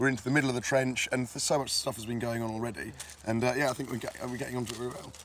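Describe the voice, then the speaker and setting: A man speaks very fast in a put-on character voice that is raspy and mid-pitched. Background noise is clearly audible. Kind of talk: casual on-site conversation.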